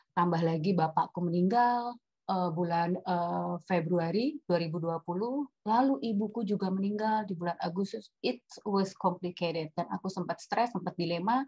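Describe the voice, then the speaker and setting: A somewhat breathy woman's voice with a dark, mellow tone and ordinary pitch variation, in a dry, close sound with no echo. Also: medium pitch for a woman, moderate pace. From Batak, North Sumatra, Indonesia. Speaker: webinar speaker on marriage. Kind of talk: personal testimony in a webinar talk. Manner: animated, mixes English into Indonesian.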